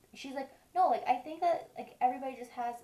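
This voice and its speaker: Mumbling in a dark, mellow tone, a woman still uses lively intonation. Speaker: beauty vlogger. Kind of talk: makeup tutorial. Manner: mumbling, stuttering; casual, chatty.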